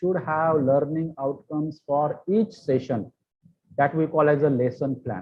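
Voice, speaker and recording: A man with an Indian accent speaks in a fairly high pitch for a man. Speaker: pharmacy lecturer. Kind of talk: lecture.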